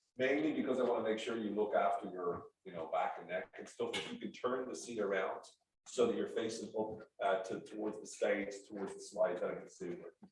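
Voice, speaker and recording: Fairly quick speech with big swings in loudness and audible room echo. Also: man. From Ireland, Dublin. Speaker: sales trainer. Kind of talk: workshop presentation. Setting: stage with audience.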